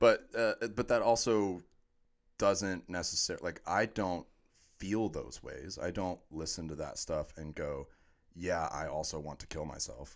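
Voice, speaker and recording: In a very clean recording with a silent background, a man with an American accent speaks at a fairly slow pace, with big swings in loudness. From US, Orlando, Florida. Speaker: podcast guest, former sports radio host. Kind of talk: casual chat.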